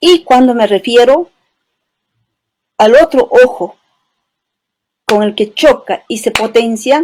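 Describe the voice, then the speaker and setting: A woman speaks with an Andean accent. Her pace is very slow. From Peru, Cusco highlands (Chisicata, Espinar). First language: Quechua (speaking Spanish). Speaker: poet and writer. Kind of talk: interview. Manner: poetic, lyrical.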